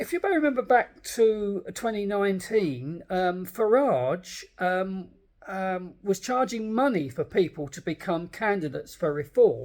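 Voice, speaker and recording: Lively intonation in an English accent, a fairly slow pace with hardly any pauses, and a very clean recording with a silent background. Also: man, high pitch for a man. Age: 60s. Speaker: political commentator. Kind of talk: casual monologue. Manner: halting.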